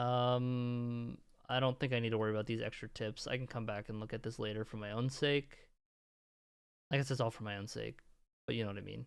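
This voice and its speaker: With music in the background, a man at a medium pitch talks at a fairly quick pace in a monotone, flat intonation, with long, frequent pauses. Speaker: streamer. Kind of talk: live gaming stream commentary.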